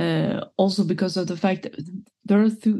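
A woman's medium-pitched, somewhat breathy voice carries a dark, mellow tone and fairly even intonation. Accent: Swedish. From Sweden. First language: Swedish. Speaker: football pundit. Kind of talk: casual chat.

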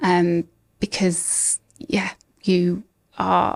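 A woman speaks with a British accent at a fairly low pitch. The sound is dry and close, with no echo. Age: 40s. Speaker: ADHD coach. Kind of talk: interview.

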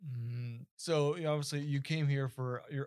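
In a normal speaking voice, a man talks at a moderate pace with fairly even intonation on a very clean recording with a silent background. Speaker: podcast host. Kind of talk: interview.

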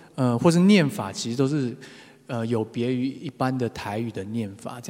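A man with a plain, everyday voice, medium in pitch, at a moderate pace. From Taiwan, Taipei. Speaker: singer-songwriter. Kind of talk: casual talk between songs.

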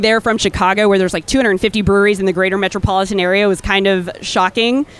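A plain, everyday voice belongs to a woman with an American accent at a medium pitch. She speaks at a fairly quick pace with fairly even intonation. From Texas. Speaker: brewer. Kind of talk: live panel interview. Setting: stage with audience at festival.

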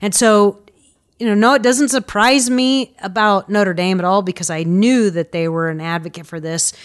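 An ordinary speaking voice from a woman, medium in pitch, at a moderate pace with lively intonation against a quiet background. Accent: American. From Indianapolis, Indiana. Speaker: school counselor. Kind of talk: interview.

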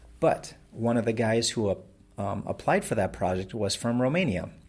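A man with a plain, everyday voice and an American accent talks fairly quickly at a fairly low pitch, on a very clean recording with a silent background. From Wisconsin, Door County. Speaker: web business founder. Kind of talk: interview.

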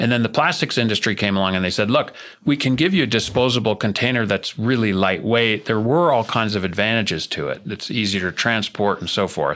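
In an American accent, a man with a normal speaking voice talks at a fairly quick pace and a fairly low pitch, with ordinary pitch variation. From US Northeast, New Jersey. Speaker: sustainability executive. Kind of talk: interview.

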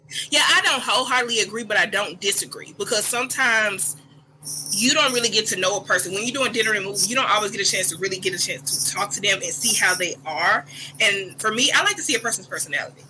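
Against noticeable background noise, a woman with a medium pitch talks at a very fast pace with lively intonation. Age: 30s. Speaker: podcast guest. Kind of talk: casual chat.

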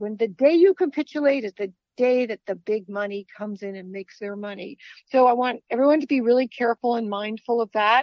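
A woman's fairly high voice, a normal speaking voice, shows ordinary pitch variation and big swings in loudness. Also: fairly quick pace. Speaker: financial analyst. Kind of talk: radio interview.

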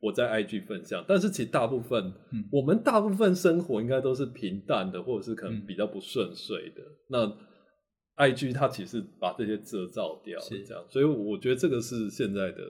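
Speaking at a moderate pace and a medium pitch, a man sounds somewhat breathy, with very wide pitch swings and big swings in loudness. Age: 40s. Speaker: university professor of Chinese literature. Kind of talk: casual interview. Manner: animated, repetitive fillers.

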